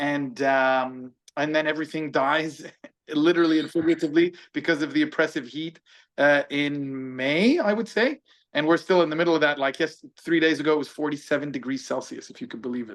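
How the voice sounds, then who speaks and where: The speech is fairly quick, with ordinary pitch variation and big swings in loudness. The background is quiet. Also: man, fairly high pitch for a man. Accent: American. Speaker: businessman and barbecue chef. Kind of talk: casual chat.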